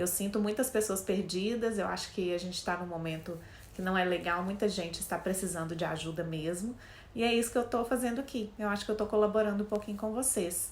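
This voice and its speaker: Fairly quick female speech in a Minas Gerais accent, medium in pitch with ordinary pitch variation, plus audible room echo. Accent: mineiro accent, noticeable. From Minas Gerais, Brazil (Belo Horizonte). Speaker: career coach, HR specialist. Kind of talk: casual talk to camera.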